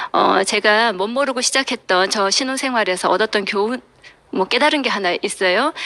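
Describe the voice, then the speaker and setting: The voice holds a very even loudness with ordinary pitch variation. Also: woman, fairly high pitch for a woman, moderate pace. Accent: Gyeongsang. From South Korea, Daegu. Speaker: business seminar speaker. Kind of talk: motivational talk.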